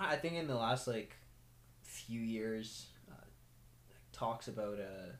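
A man's fairly low voice, slow in pace, with lively intonation.

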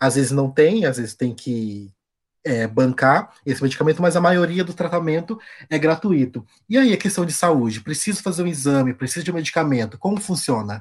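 The background is silent in this very clean recording. Words arrive at a moderate pace. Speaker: podcast host. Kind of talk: interview.

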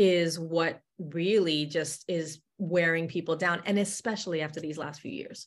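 Her pace fairly slow, a woman speaks with hardly any pauses and big swings in loudness. Her pitch is fairly low and her intonation fairly even. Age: 50s. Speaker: career and business coach, former corporate executive. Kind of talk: podcast interview.

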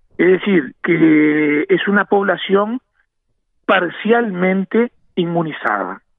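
The man's pitch is high, with ordinary pitch variation. He speaks at a very slow pace. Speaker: national football team doctor. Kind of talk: radio interview.

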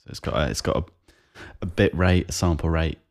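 A man speaks with vocal fry and a very deep, low pitch. He has a South East English accent. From South East England, Kent. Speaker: podcast co-host, amateur musician. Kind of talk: casual chat. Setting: remote call.

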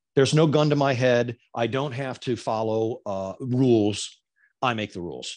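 A man with an American accent talks at a moderate pace in a normal speaking voice, medium in pitch with ordinary variation. The background stays quiet. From Florida. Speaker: former TV news anchor and reporter, now podcaster. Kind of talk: casual interview chat.

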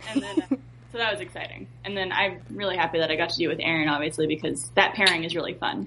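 Speaking very fast with lively intonation, a woman's fairly low voice comes through noticeable background noise. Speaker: voice actor. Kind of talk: casual chat.

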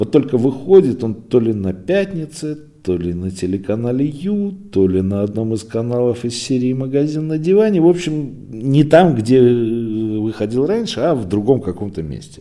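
A man talks in a dark, mellow tone. His pitch swings very widely. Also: medium pitch for a man, moderate pace. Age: 40s. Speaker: podcast host, site owner. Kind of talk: solo news digest podcast. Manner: conversational, filler-heavy.

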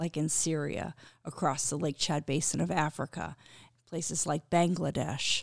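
A woman with an American accent and a very deep, low voice, with vocal fry, fairly even intonation and a moderate pace, in a very clean, dry, close recording with a silent background and no echo. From Connecticut. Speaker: humanitarian organization president. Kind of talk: interview. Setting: studio.

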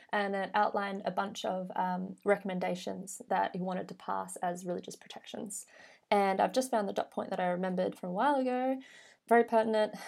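In a very clean recording with a silent background, a woman with an Australian accent speaks fairly quickly at medium pitch with fairly even intonation. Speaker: podcast co-host. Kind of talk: casual chat; scripted intro.

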